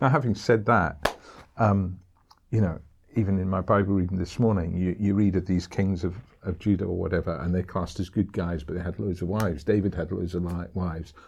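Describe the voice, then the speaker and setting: A man's very deep, low voice, somewhat breathy, at a fairly quick pace with fairly even intonation. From Scotland, Edinburgh. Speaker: pastor. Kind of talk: casual chat.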